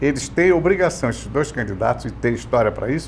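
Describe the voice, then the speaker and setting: A man over noticeable background noise. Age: 80s+. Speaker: veteran journalist. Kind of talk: casual chat.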